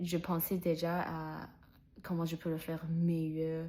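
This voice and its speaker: On a very clean recording with a silent background, a woman speaks very slowly in a fairly low voice with a dark, mellow tone. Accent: non-native. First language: not French (speaking French). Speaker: French learner vlogger. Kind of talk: personal vlog monologue. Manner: halting, many fillers and restarts.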